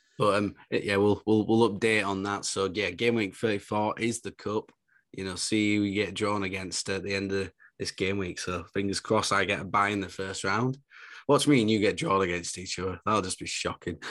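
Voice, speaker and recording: A man speaks with a northern English accent at a fairly quick pace and fairly low pitch. His intonation is fairly even, and the background is quiet. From northern England. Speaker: fantasy football podcast co-host. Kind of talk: casual chat.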